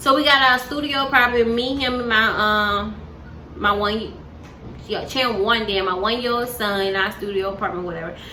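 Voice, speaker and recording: With an animated tone and a fairly high pitch, a woman talks at a moderate pace with ordinary pitch variation, amid noticeable background noise and audible room echo. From US South, Montgomery, Alabama. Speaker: vlogger. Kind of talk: casual storytelling. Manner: casual, animated.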